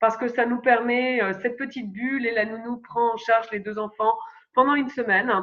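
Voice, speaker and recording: A woman speaks at a moderate pace, her pitch fairly high and her intonation fairly even. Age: 30s. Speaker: astro-psychologist and parenting coach. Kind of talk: podcast interview. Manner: hesitant, many fillers.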